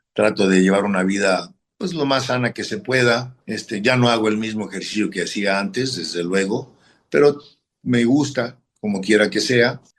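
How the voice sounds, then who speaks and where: A man speaks at a moderate pace, his voice fairly low. His pitch varies in an ordinary way. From northern Mexico, Matamoros. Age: 60s. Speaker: football coach and former player. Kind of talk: interview. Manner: halting.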